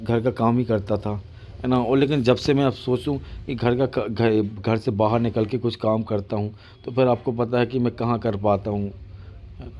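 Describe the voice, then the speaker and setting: A man with a medium pitch and a dark, mellow tone talks at a moderate pace with fairly even intonation. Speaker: vlogger. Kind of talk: casual vlog talk to camera. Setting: at home. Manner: halting, repetitive.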